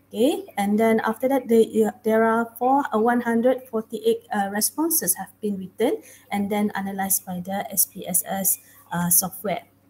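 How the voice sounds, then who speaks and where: A woman speaks at a fairly slow pace with ordinary pitch variation. Faint music plays in the background. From Malaysia. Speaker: academic researcher; conference presenter. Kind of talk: conference presentation. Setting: video call. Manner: halting. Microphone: headset.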